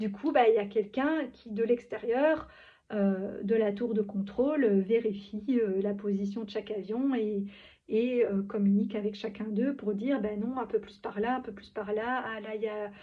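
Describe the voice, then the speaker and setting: A woman's fairly high voice, fairly slow and fairly even in intonation, with big swings in loudness. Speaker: spiritual vlogger. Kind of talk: improvised monologue. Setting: at home, in pyjamas. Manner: halting.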